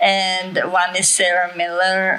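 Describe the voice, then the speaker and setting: A woman in an Italian accent speaks over noticeable background noise. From Italy. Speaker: author and speaker. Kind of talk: lecture. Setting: stage with audience.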